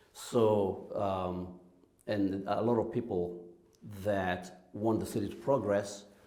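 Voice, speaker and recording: A man talks in a fairly low, dark, mellow voice with ordinary pitch variation. Audible room echo surrounds him. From Kenya. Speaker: church music director. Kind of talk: interview.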